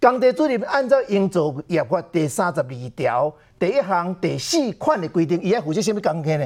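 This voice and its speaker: Very wide pitch swings mark this man's high voice as he moves along at a moderate pace. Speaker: political commentator. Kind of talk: political talk show commentary.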